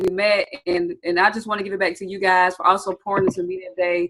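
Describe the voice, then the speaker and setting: At a fairly quick pace, a woman with a Southern US accent speaks at a medium pitch. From US South, Atlanta, Georgia. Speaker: trading educator. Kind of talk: webinar training. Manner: animated.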